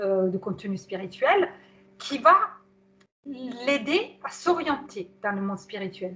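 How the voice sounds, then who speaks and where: A woman speaks in a fairly high pitch with a bright, sharp tone. Her pitch swings very widely. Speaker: psycho-body therapist giving a webinar on anthroposophy. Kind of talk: webinar talk. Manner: hesitant, many fillers.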